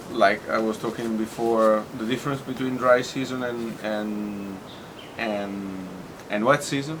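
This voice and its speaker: A man with an Italian accent at a fairly slow pace, medium pitch and fairly even intonation, amid noticeable background noise. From Tuscany, Italy. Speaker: bartender. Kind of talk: interview answer.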